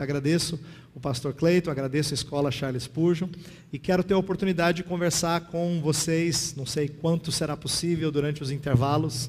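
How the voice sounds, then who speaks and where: Here a man speaks with a fairly high pitch and fairly even intonation. His voice is somewhat breathy, and his pace is fairly quick. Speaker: pastor and theology teacher. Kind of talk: lecture. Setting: classroom with audience and slides.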